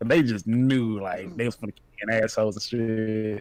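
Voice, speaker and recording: A man speaks at a moderate pace in a medium pitch with a plain, everyday voice. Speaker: podcast co-host. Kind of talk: casual chat.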